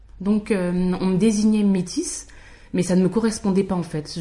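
This woman speaks at a moderate pace in a medium pitch, her voice somewhat breathy with a dark, mellow tone. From France, Paris region (Val-d'Oise). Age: 30s. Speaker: podcast guest sharing mixed-race experience. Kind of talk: casual chat.

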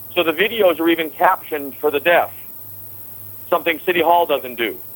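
The speaker is a man with a high pitch. He talks at a moderate pace. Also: dry, close sound with no echo. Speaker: political candidate.

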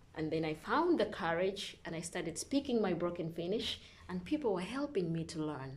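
Lively intonation from a woman with a fairly low pitch, over noticeable background noise. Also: moderate pace. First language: English and Luganda. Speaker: nursing student. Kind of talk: interview.

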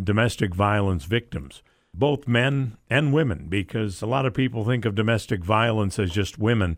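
At a moderate pace, the speaker uses ordinary pitch variation with an American accent. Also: man. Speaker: arena announcer and domestic violence advocate. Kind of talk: radio interview.

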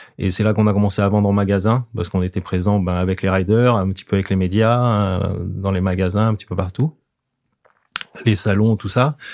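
A man speaks at a fairly quick pace with a fairly low pitch. He has an ordinary speaking voice. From French Alps. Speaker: surfboard shaper. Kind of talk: interview. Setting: studio.

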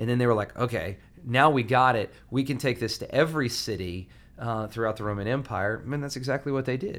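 With an American accent, a man speaks in a plain, everyday voice at a medium pitch and a fairly quick pace, with ordinary pitch variation. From US South, Alabama. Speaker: pastor. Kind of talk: casual interview about sermon series.

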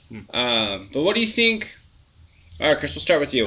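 Against noticeable background noise, a man's fairly high voice moves through very wide pitch swings. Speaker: beer podcast co-host. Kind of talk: casual chat.

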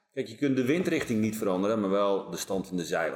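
With noticeable background noise behind him, a man talks at a fairly quick pace in a fairly low voice. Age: 40s. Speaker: police team leader and performance coach. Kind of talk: casual chat. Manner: halting.

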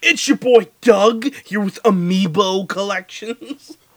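A put-on character voice with a fairly high pitch moves at a fairly slow pace. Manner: hyped, over-the-top.

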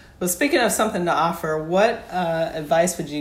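Audible room echo surrounds this woman's voice. She speaks at a fairly quick pace. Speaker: podcast host. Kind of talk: interview.

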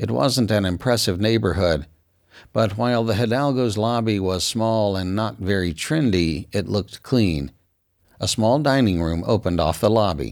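In a very clean recording with a silent background, a man with an ordinary speaking voice talks at a moderate pace, his fairly low pitch carrying lively intonation. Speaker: audiobook narrator. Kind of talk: noir audiobook narration, read aloud in third person. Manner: clipped, matter-of-fact procedural detail.

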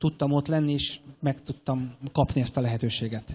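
In a normal speaking voice, a man talks with a fairly high pitch at a moderate pace. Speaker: airline captain. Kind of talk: interview. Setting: stage with audience.

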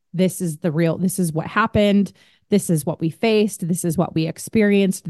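A woman speaks fairly quickly in a normal speaking voice with fairly even intonation, in a dry, close sound with no echo and a quiet background. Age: 30s. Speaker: author and podcast host. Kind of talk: personal storytelling interview.

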